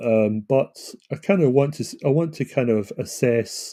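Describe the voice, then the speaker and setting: A man with a Scottish accent speaks in a dark, mellow tone with ordinary pitch variation, in a very clean recording with a silent background. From Scotland. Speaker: author and self-publishing consultant. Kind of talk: live stream monologue. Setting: home computer live stream. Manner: casual, hesitant with fillers.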